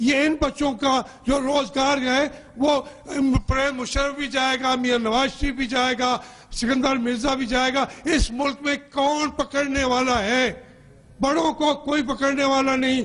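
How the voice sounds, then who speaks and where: In a monotone, flat intonation, a man speaks at an extremely high pitch with very even loudness. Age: 60s. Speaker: politician. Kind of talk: heated debate. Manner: impassioned.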